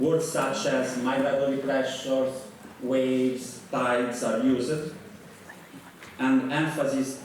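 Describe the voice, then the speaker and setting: A man with an Italian accent speaks at a very slow pace and medium pitch. Audible room echo and noticeable background noise are present. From Italy. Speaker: professor. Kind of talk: lecture.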